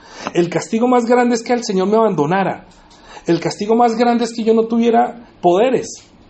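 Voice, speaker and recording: A man with a high voice talks at a fairly quick pace, with audible echo from the room. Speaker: preacher. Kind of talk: sermon. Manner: fast.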